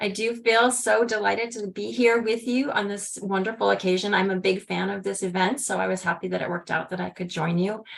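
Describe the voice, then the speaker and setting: Over noticeable background noise, a woman talks at a fairly quick pace with hardly any pauses. Her voice is medium in pitch with ordinary pitch variation. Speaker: HIV prevention researcher. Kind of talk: conference presentation. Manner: fast.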